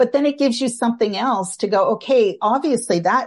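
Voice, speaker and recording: Over a quiet background, a woman with a Canadian accent speaks at a fairly quick pace, somewhat breathy and with lively intonation. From Canada. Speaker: social worker and tapping trainer. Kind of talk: interview, casual chat.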